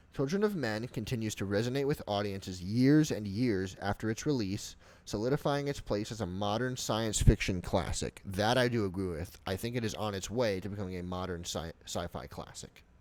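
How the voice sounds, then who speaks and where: A man with an American accent and a normal speaking voice, fairly low in pitch, with ordinary pitch variation and hardly any pauses, on a very clean recording with a silent background. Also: fairly quick pace. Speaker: student podcaster. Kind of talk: class podcast, reading aloud with comments.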